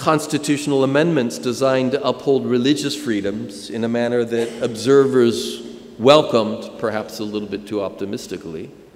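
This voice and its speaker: Over noticeable background noise and audible room echo, a man with an American accent speaks at a moderate pace with ordinary pitch variation. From United States. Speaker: professor. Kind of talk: lecture. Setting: conference stage with audience.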